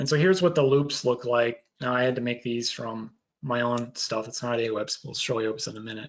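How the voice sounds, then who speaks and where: The man has an unremarkable speaking voice, talking fairly quickly with a medium pitch that varies in an ordinary way. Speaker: researcher presenting on satellite fire detection. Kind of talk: webinar lecture.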